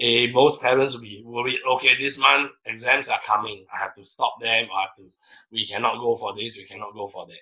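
A man talks at a fairly quick pace. His tone is bright and sharp, his intonation fairly even. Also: medium pitch for a man, big swings in loudness. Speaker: swim coach. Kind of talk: casual chat. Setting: video call.

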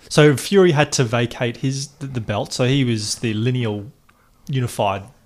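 An ordinary speaking voice from a man, medium in pitch with ordinary pitch variation. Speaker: podcast co-host. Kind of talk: casual sports chat.

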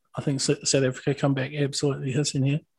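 With a New Zealand accent, a man speaks at a fairly high pitch. His voice is somewhat breathy. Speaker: rugby podcast co-host. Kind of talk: casual chat.

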